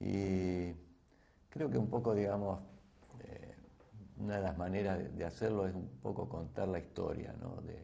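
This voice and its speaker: With audible room echo, a man talks at a fairly slow pace in a very deep, low pitch, his dark, mellow tone roughened by vocal fry. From Argentina, Santa Fe province (San Jorge). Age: 60s. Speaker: biochemist and agribusiness entrepreneur. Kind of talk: invited talk. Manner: hesitant, many fillers and repetitions.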